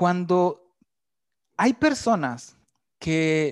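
A man with a Mexican accent talks in a fairly high pitch with very wide pitch swings against a quiet background. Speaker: communications graduate, fitness dancer. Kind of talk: casual interview, personal life story. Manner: halting, many fillers.

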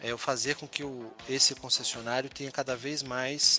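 A man's medium-pitched voice has a bright, sharp tone and ordinary pitch variation at a fairly slow pace. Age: 40s. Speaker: business executive. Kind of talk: interview.

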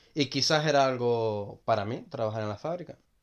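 At a moderate pace, a man with a medium pitch talks in an ordinary speaking voice. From Gran Canaria. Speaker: hotel worker. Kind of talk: casual chat.

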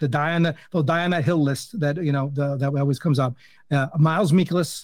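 With a New Jersey accent, the speaker talks at a moderate pace with fairly even intonation in a very clean recording with a silent background. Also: man. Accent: New Jersey American. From US, New Jersey. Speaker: fantasy baseball podcast host. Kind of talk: casual chat.

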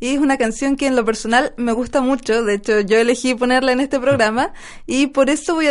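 A woman talks with ordinary pitch variation. Her voice is high in pitch. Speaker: radio host. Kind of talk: casual radio chat.

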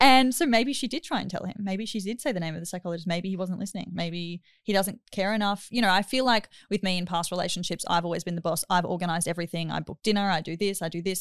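A woman with an Australian accent talks at a very fast pace, with hardly any pauses, an animated tone and ordinary pitch variation. The recording is very clean with a silent background and a dry, close sound with no echo. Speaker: podcast host. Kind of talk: casual chat.

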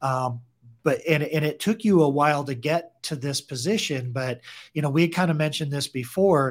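A man speaks at a moderate pace in a fairly high, somewhat breathy voice with ordinary pitch variation. The recording is very clean, with a silent background. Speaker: podcast host, loan officer. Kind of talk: casual interview. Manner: filler-heavy, enthusiastic.

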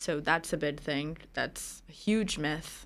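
A woman speaks in a plain, everyday voice with ordinary pitch variation. The recording is very clean, with a silent background. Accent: American. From New Jersey. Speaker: business assistant. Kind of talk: casual chat.

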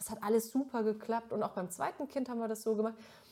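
This woman speaks with a slight Franconian accent and a fairly high pitch. Her tone is dark and mellow. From Middle Franconia, Germany. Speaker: TV presenter. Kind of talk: casual chat.

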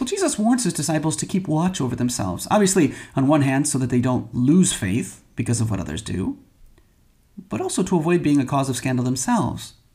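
With an American accent, a man speaks fairly quickly at a fairly high pitch, his voice showing vocal fry and a dark, mellow tone. His pitch swings very widely. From Michigan. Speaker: priest. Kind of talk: homily.

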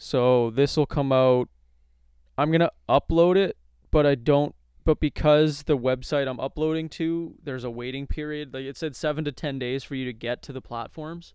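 This man has an unremarkable speaking voice, fairly high in pitch, with fairly even intonation at a moderate pace. The sound is dry and close, with no echo. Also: big swings in loudness. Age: 20s. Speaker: podcast host. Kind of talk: casual chat. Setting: home recording.

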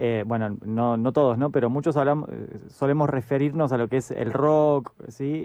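A man with a medium pitch and a dark, mellow tone speaks at a moderate pace with ordinary pitch variation. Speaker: radio co-host. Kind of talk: radio interview.

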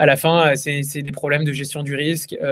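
A man talks with a fairly high pitch. His intonation stays flat and monotone. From France. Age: 20s. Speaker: crypto startup co-founder. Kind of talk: podcast interview.

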